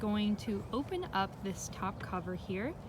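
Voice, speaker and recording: A woman speaks fairly slowly at a fairly high pitch with lively intonation. Room echo can be heard. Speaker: beekeeper. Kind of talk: tutorial. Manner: loud.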